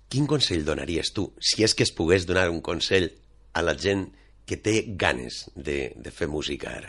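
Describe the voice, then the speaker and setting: A man with lively intonation and vocal fry, at a fairly slow pace. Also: quiet background. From Valencia region, Manises. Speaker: radio host. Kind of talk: scripted narration; radio magazine presenting.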